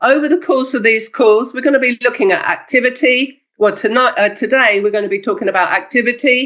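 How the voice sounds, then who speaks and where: Fairly quick speech from a woman, high in pitch. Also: ordinary pitch variation, hardly any pauses. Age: 60s. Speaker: network marketing distributor and trainer. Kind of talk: motivational training talk. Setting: video call.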